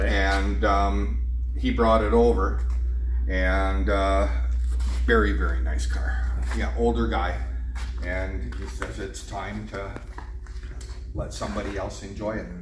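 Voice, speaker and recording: With noticeable background noise behind him, a man speaks in a very deep, low pitch, very slowly and in a monotone, flat way, leaving long, frequent pauses. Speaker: auctioneer. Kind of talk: interview answer. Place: garage. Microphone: camera far.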